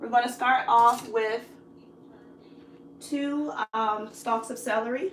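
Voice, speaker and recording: The voice moves at a very slow pace with long, frequent pauses, big swings in loudness and ordinary pitch variation. Noticeable background noise and audible room echo are present. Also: woman, high pitch for a woman. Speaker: cooking channel host. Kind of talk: live cooking tutorial.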